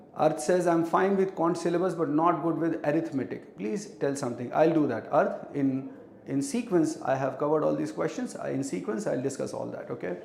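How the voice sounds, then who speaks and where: Over noticeable background noise and audible room echo, a man talks at a fairly quick pace with hardly any pauses, lively intonation and a fairly high pitch. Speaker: teacher. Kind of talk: live online class. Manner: code-switching Hindi and English.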